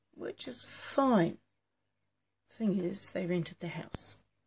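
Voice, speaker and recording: With ordinary pitch variation, this woman talks at a fairly slow pace in a somewhat breathy voice. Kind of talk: casual vlog chat. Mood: amused, laughing at own story. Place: home room. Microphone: phone near.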